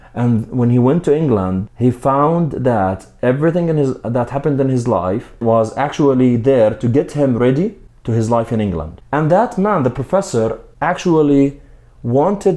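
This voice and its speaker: A man with a non-native accent talks at a moderate pace and a medium pitch. His tone is dark and mellow, and his intonation is lively. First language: not English. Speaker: book reviewer. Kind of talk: book review.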